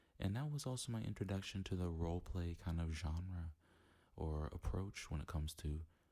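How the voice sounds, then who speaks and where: Soft-spoken and somewhat breathy, a man with a very deep, low pitch talks at a moderate pace in a dark, mellow, relaxed tone. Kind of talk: casual talk to camera. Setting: home recording setup. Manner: soft-spoken, relaxed, rambling.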